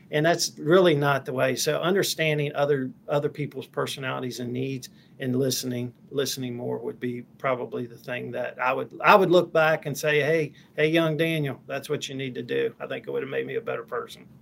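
A man with an American accent and a fairly high pitch talks with hardly any pauses over noticeable background noise. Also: ordinary pitch variation, fairly quick pace. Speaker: company president. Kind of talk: interview conversation.

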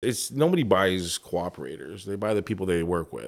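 In a Canadian accent, a normal speaking voice moves at a fairly quick pace with lively intonation, on a very clean recording with a silent background. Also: man. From Toronto, Canada. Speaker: insurance advisor. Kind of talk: interview.

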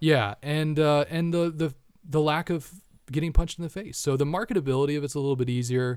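Fairly high-pitched, a man speaks at a very fast pace. His pitch variation is ordinary. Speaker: martial arts instructor. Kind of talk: casual chat. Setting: studio.

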